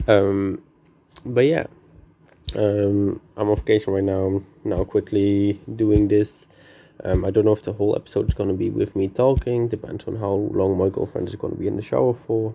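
A quiet man with a fairly low, dark, mellow voice, at a moderate pace with fairly even intonation. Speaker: gaming YouTuber. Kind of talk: gameplay commentary. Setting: vacation room, indoors. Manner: quiet, subdued.

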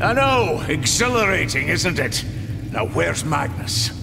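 Over loud background noise, a man puts on a gruff character voice at a medium pitch and a moderate pace. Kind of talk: over-the-top game voice acting. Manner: gruff, battle-hungry, blunt.

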